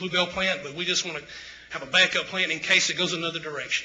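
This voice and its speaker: A man's high voice in a Mississippi accent, with audible room echo and noticeable background noise. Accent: Mississippi Southern US. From Tupelo, Mississippi. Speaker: local business owner speaking at council. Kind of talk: public comment at city council. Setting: city council meeting. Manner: halting, many fillers.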